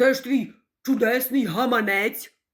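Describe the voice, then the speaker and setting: Putting on a character voice, a woman speaks fairly slowly at a high pitch with fairly even intonation. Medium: read story. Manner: haughty, commanding.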